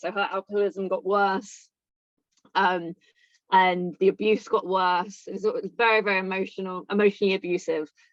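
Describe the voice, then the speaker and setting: A woman's medium-pitched voice with a southern English accent, fairly even intonation and a moderate pace. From England, near London. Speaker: recovering alcoholic. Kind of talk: interview testimony. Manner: halting.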